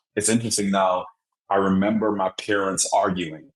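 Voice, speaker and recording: Speaking in an Antiguan accent, a man talks at a fairly quick pace with fairly low pitch. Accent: Antiguan Caribbean. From Antigua and Barbuda. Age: 30s. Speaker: motivational speaker. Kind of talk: podcast interview.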